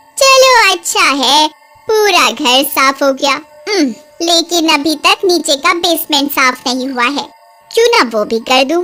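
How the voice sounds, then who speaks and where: A woman's cartoonish character voice, high and lively in intonation, at a moderate pace and very even loudness, with faint music in the background. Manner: rustic, outspoken.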